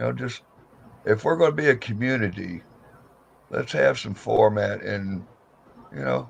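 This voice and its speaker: The speaker is a man. He talks at a moderate pace. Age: 60s. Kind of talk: casual chat.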